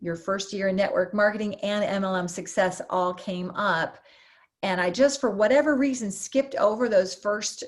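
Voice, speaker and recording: In a very clean recording with a silent background, a woman with an ordinary speaking voice talks at a moderate pace, at medium pitch with ordinary pitch variation. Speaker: network marketer. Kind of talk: testimony.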